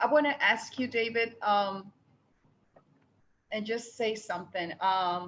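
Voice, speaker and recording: A woman with a Spanish accent and fairly high pitch speaks at a very slow pace, leaving long, frequent pauses. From Panama. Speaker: participant asking a question. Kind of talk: audience question in online meeting. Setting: video call. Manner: halting.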